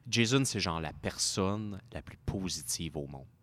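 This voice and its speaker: With a Quebec accent, a man speaks fairly slowly while his pitch swings very widely. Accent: Québécois French. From Quebec, Montreal area (Saint-Léonard). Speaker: car dealership worker and drifter. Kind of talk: casual chat.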